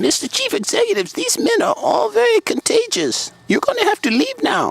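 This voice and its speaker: A man does a squeaky, put-on character voice at an extremely high pitch and a fairly quick pace. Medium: audio drama. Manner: deferential, formal.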